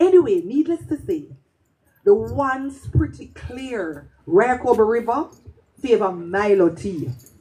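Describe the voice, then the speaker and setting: A woman with a Jamaican accent talks fairly slowly at a fairly high pitch, her voice ranging through very wide pitch swings. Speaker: poet. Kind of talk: storytelling performance.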